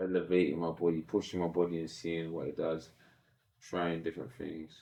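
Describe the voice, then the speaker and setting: A man speaks at a fairly quick clip in a very deep, low voice, his intonation flat and monotone. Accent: London. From south-east London. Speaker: professional boxer. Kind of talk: podcast interview.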